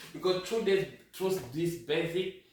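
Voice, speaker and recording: There is noticeable background noise and audible room echo as a man talks with a French accent. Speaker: sewing teacher, medical doctor. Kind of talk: tutorial. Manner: halting.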